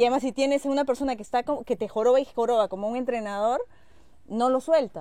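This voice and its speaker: A woman talks at a very fast pace. Her high voice carries a dark, mellow tone. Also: ordinary pitch variation. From Peruvian Amazon. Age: 40s. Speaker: TV news reporter. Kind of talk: casual chat. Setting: outdoors by a pool at a home.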